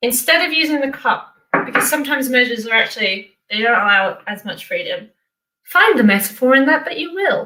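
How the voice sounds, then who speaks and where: With a raised, projected voice and a bright, sharp tone, a woman speaks high in pitch at a fairly quick pace, swinging very widely in pitch. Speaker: online show host. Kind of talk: casual baking tutorial. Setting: home kitchen. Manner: fast.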